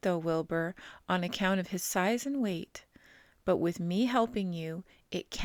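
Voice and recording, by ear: Ordinary pitch variation, reading aloud in a natural voice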